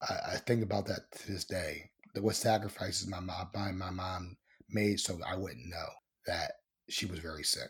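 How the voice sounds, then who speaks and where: In an American accent, a man with a very deep, low pitch speaks at a moderate pace, somewhat breathy, with fairly even intonation. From Baltimore, Maryland; raised partly in Ohio and Dallas, Texas. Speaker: podcast host and producer. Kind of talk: casual interview.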